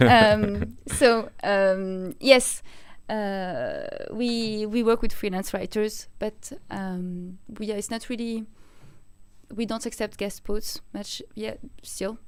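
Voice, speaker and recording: A woman speaks at a fairly high pitch with ordinary pitch variation and big swings in loudness. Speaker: marketing lead at a software company. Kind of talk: live webinar presentation. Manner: fast.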